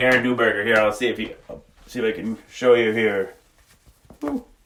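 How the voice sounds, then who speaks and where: A booming man's voice moves at a moderate pace, with big swings in loudness. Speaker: livestreamer. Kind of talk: casual live-stream chat. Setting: sauna. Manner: animated.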